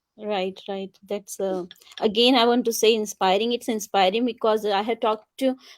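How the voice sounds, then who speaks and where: With an Indian accent, a woman with a fairly high pitch speaks at a moderate pace and fairly even intonation on a very clean recording with a silent background. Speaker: talk show host. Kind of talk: interview.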